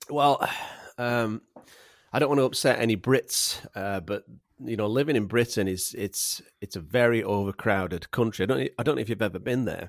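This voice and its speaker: A man with a Yorkshire accent speaks at a moderate pace and medium pitch with ordinary pitch variation, the sound dry and close with no echo on a very clean recording with a silent background. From Yorkshire, England. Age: 40s. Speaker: landscape photographer. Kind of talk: casual chat. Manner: jokey, humorous.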